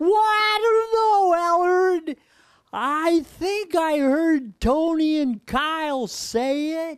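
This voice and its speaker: A cartoonish character voice, extremely high-pitched and very slow. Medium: puppet show. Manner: slow, earnest, naive.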